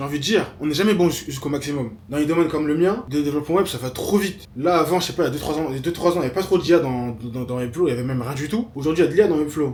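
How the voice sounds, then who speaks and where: Speaking at a very fast pace with hardly any pauses, a man uses ordinary pitch variation over noticeable background noise. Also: fairly high pitch for a man. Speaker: web developer and vlogger. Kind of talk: vlog monologue.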